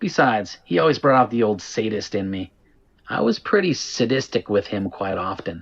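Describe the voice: The intonation is lively. It comes in plain reading aloud.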